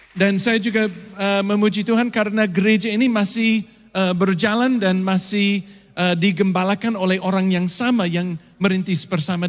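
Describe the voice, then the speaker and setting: A man with a non-native accent talks at a moderate pace. His pitch is high, with ordinary variation. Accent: foreign accent in Indonesian, slightly stiff. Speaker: pastor. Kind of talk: sermon. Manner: frequent hesitations (eh).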